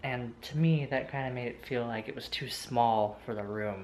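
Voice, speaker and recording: The man's voice is quiet and medium in pitch. He talks at a moderate pace. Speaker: vlogger. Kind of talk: casual vlog narration. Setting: at home. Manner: speaking quietly; hesitant, filler-heavy.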